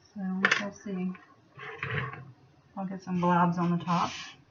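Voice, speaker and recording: A woman's monotone, flat delivery comes through noticeable background noise. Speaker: soapmaking video maker. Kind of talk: tutorial. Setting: at home. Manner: casual, chatty; louder than last time.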